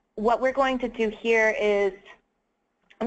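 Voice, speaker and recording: A woman with a plain, everyday voice, moderate pace and ordinary pitch variation. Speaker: webinar presenter. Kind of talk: webinar presentation. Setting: online webinar.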